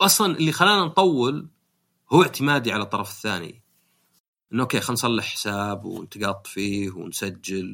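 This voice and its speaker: In a very clean recording with a silent background, a man of medium pitch with a Saudi accent talks at a moderate pace, his tone bright and sharp and his intonation lively. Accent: Gulf Arabic (Saudi). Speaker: podcast host. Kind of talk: casual chat.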